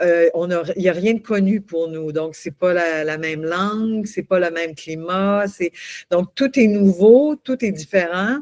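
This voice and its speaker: A woman at medium pitch, fairly slow pace and ordinary pitch variation. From Quebec. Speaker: coach and singer. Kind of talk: interview. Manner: halting, many repetitions.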